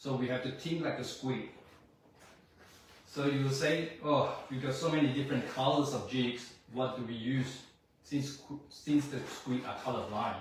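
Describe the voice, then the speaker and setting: Flat, monotone delivery in a non-native accent at a moderate pace, with long, frequent pauses, audible room echo and noticeable background noise. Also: man, medium pitch for a man. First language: not English. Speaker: fishing instructor. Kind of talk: lecture. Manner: halting.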